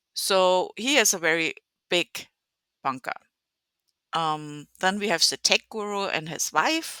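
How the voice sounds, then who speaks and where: A woman with a strong German accent, medium in pitch, in a bright, sharp tone with lively intonation and long, frequent pauses. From Germany. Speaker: video game content creator. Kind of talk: gameplay walkthrough. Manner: halting, many fillers.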